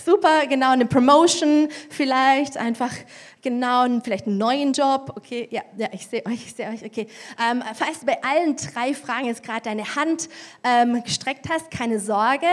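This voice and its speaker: Her tone is animated and her pitch high. This woman speaks at a moderate pace. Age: 40s. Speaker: preacher. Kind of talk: sermon. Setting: church.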